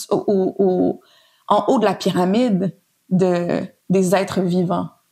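A woman with a Quebec accent. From Montreal, Quebec. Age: 30s. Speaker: designer and researcher. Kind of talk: casual interview. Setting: at guest's home.

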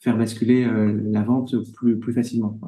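Dark and mellow in tone, the voice moves at a moderate pace with flat, monotone intonation. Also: man. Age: 30s. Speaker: leather goods brand co-founder. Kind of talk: interview. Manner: halting, many repetitions and fillers.

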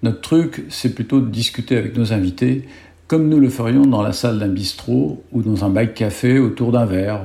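The man's tone is dark and mellow, and his pitch sits at a medium level. His voice is somewhat breathy. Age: 70s. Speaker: podcast host, cyclist. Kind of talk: scripted intro; casual chat.

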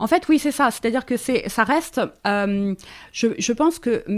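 A woman's ordinary speaking voice, fairly high in pitch with lively intonation, on a very clean recording with a silent background. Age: 40s. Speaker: feminist author and journalist. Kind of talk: casual chat.

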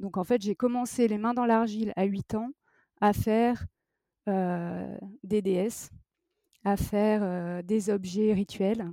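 Speaking very slowly with long, frequent pauses, a woman has a dark, mellow tone at a medium pitch and fairly even intonation. Her recording is very clean and silent behind her, with a dry, close sound and no echo. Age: 40s. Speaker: ceramic artist. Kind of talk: interview. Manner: halting, many repetitions and fillers.

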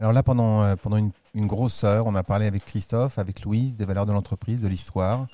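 Talking at a very fast pace, a man with a fairly low pitch and a dark, mellow tone keeps a monotone, flat intonation, recorded very cleanly with a silent background and a dry, close sound with no echo. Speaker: podcast host. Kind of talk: interview. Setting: chocolate shop.

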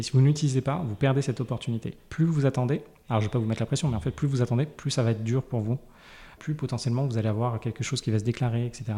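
A man talks very fast at a medium pitch, his tone dark, mellow and somewhat breathy, with ordinary pitch variation. The recording is very clean, with a silent background. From Paris. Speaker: personal finance guest, frugalism advocate. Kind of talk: interview. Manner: hesitant, many fillers.

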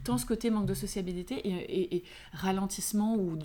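An animated woman's voice at a medium pitch, with ordinary pitch variation. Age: 40s. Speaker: beauty entrepreneur. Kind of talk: casual chat.

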